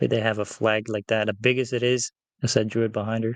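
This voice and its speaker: Here a man with a non-native accent talks at a fairly quick pace in a medium pitch. The sound is dry and close, with no echo. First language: not English. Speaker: comic book artist. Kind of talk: casual chat. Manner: halting.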